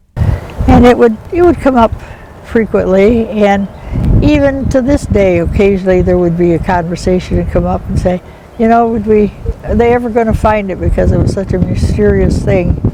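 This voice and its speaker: A woman talks at a moderate speed as noticeable background noise runs underneath. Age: 80s+. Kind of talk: interview answer.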